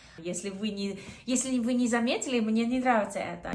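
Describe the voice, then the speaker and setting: A woman speaks with ordinary pitch variation amid audible room echo. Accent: Australian. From Australia. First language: English (speaking Russian). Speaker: vlogger. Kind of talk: casual vlog talk. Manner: halting, with self-corrections.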